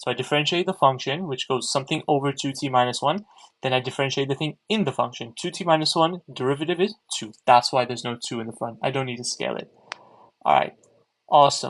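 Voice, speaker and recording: A man with an American accent, fairly high in pitch, talking at a very fast pace with ordinary pitch variation. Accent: sounds American. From mixed, raised in different parts of the world. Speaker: maths tutor livestreamer. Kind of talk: tutorial. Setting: livestream. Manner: conversational, answering chat.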